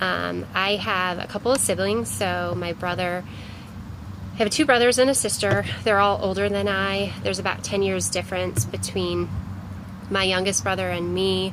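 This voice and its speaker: Spoken at a moderate pace with a Cleveland accent, the voice carries audible room echo. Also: woman. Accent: Inland Northern American (Cleveland). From US Midwest, Cleveland, Ohio. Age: 30s. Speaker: vlogger. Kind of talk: casual personal vlog. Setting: outdoors. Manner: casual with many fillers.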